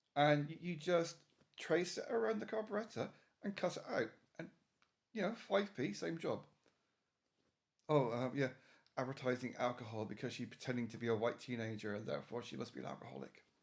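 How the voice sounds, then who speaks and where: A man with an English accent at medium pitch, with very wide pitch swings and long, frequent pauses. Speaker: YouTuber / video reviewer. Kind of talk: reaction commentary rant. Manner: halting.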